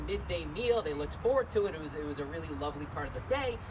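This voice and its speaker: Very fast speech from a man, plus noticeable background noise and audible room echo. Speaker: solo stage performer. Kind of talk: one-man comedy show with songs. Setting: stage with audience. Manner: rambling.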